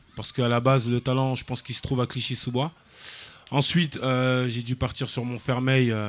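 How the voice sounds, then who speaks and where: Amid noticeable background noise, a man with a medium pitch speaks in a monotone, flat intonation at a fairly quick pace, with long, frequent pauses. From France, Paris and Seine-Saint-Denis suburbs. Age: 20s. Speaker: football coach. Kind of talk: radio interview. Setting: live outdoor event broadcast.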